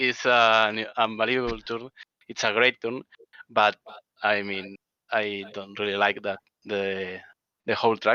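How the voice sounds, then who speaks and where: A man with a Spanish accent has a bright, sharp tone and a fairly low pitch, speaking at a fairly slow pace with fairly even intonation in a dry, close sound with no echo. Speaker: sim racing driver. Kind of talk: post-race interview. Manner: halting.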